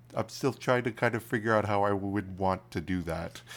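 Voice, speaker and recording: An ordinary speaking voice belongs to a man who speaks at a moderate pace with a fairly low pitch. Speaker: podcast host. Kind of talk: casual chat. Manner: casual, conversational.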